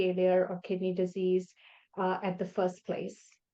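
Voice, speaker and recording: At a fairly slow pace, the speaker talks with a non-native accent. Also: woman. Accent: foreign accent, noticeable. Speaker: nephrologist. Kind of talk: interview podcast. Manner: halting, many fillers.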